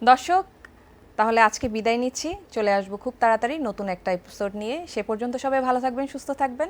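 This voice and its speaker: Pitched high, this woman's speech rises and falls in an ordinary way. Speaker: talk show host. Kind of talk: casual chat. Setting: studio. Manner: formal.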